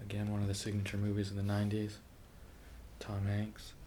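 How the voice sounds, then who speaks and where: A soft-spoken man with a fairly low pitch, monotone, flat intonation, a moderate pace, and noticeable background noise. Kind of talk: ASMR page-flipping movie review talk to camera.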